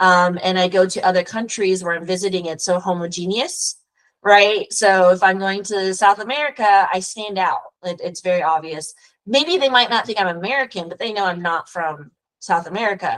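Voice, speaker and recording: At a moderate pace, a woman with a Texas accent speaks in a medium pitch. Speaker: immigration lawyer. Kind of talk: casual interview conversation.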